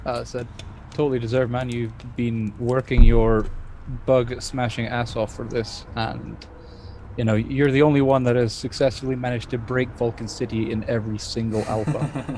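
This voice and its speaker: Over noticeable background noise, a man with a medium pitch talks at a moderate pace in a monotone, flat intonation. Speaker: podcast co-host. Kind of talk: casual chat.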